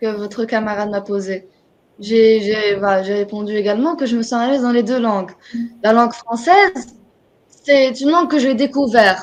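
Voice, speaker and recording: With an Arabic accent, a woman talks at a moderate pace using ordinary pitch variation. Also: fairly high pitch for a woman. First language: Arabic (speaking French). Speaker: writer. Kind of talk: interview. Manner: halting.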